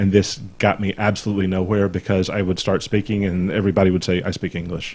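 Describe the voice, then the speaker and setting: Talking at a very fast pace, a man with an American accent has a very deep, low pitch, a dark, mellow tone, and fairly even intonation. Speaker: gaming podcast co-host. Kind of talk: casual chat. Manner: halting, repeats words.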